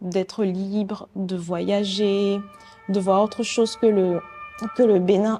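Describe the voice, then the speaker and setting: A woman at a medium pitch, very slow and monotone, with flat intonation over background music. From Benin, Porto-Novo. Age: 20s. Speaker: painter and art student. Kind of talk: interview conversation. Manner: halting, many hesitations.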